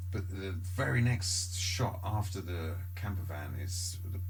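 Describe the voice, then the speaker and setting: Noticeable background noise sits behind a man with a very deep, low pitch. He speaks at a fairly slow pace in a monotone, flat intonation. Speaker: podcast host. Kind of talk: casual podcast conversation. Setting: distant from microphone.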